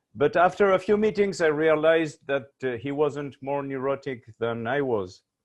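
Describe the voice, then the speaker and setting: This man has a fairly high voice and a Uruguayan accent. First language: Spanish. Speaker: research company CEO. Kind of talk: panel discussion.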